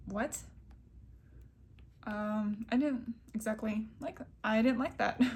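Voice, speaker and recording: A woman speaks at a very slow pace, somewhat breathy and fairly high in pitch. Her pitch varies in an ordinary way. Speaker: vlogger. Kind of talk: casual vlog monologue. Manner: hesitant, many fillers.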